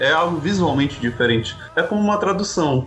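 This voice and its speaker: Noticeable background noise runs under the recording. A man speaks over it at a fairly quick pace. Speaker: podcaster. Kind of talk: casual chat.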